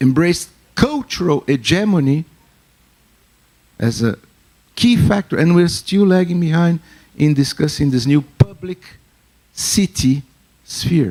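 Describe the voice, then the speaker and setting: A man's fairly high voice with lively intonation, a fairly slow pace and long, frequent pauses, in a dry, close sound with no echo. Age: 60s. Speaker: academic panelist. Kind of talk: panel discussion.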